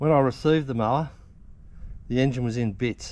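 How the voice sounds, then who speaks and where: Speaking at a very fast pace with ordinary pitch variation, a man is heard in a dry recording with no echo. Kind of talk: casual DIY vlog commentary. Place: garden. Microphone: camera far.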